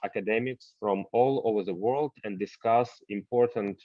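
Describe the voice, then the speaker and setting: A man speaks at a fairly slow pace. His is an unremarkable speaking voice at a medium pitch. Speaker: university rector, lecture host. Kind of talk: online lecture moderation.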